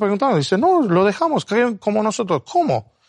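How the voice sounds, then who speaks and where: Against a quiet background, a man with an Argentine accent talks with very wide pitch swings. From abroad, non-Spanish-speaking country. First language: not Spanish (speaking Spanish). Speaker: Bible teacher. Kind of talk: Bible study discussion. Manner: halting.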